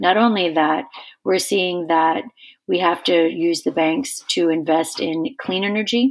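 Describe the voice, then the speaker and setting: With an American accent, a woman talks in a normal speaking voice, fairly low in pitch, with ordinary pitch variation. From West Virginia. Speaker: foundation chair and climate advocate. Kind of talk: interview.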